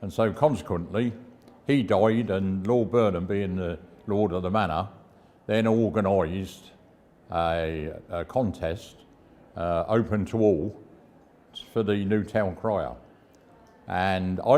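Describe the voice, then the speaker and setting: In a southern English accent, a man with a fairly low pitch and ordinary pitch variation speaks with long, frequent pauses. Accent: English, south of England. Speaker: town crier. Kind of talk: interview answer, storytelling. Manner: conversational, anecdotal.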